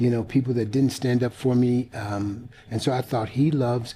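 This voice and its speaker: At a moderate pace, a man speaks in a dark, mellow, somewhat breathy tone at a medium pitch with fairly even intonation. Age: 60s. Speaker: pastor and motivational speaker. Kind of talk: interview testimony. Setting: studio. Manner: halting, many fillers.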